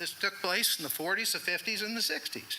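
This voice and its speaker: Over noticeable background noise, a man talks with a high pitch and lively intonation. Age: 60s. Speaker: resident speaking at public comment. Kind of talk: public comment at town meeting. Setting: town council meeting.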